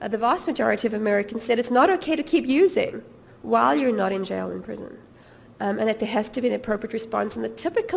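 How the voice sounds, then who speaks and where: A woman talks very fast against noticeable background noise. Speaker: policy researcher. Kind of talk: lecture. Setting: seminar with audience. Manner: halting with fillers.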